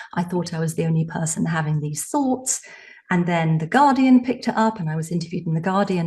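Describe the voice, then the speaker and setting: A woman with an English accent talks at a fairly quick pace. Her fairly low voice is somewhat breathy, with ordinary pitch variation. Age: 60s. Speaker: psychotherapist and author. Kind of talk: podcast interview.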